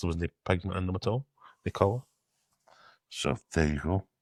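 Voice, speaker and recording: With a Glasgow accent, a man with a very deep, low pitch uses ordinary pitch variation, recorded very cleanly with a silent background and a dry, close sound with no echo. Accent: Scottish (Glasgow area). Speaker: podcast co-host. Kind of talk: casual chat. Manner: mumbling.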